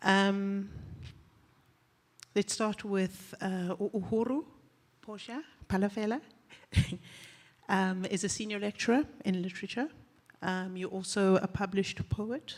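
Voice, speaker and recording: A shaky woman's voice at medium pitch with ordinary pitch variation, fairly slow, with long, frequent pauses. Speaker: panel moderator. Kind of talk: panel discussion introduction. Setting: live festival stage with audience. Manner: shaky voice; hesitant, many fillers.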